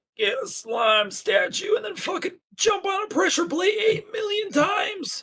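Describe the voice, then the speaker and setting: A put-on character voice shouts at an extremely high pitch. The pace is moderate. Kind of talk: old timey.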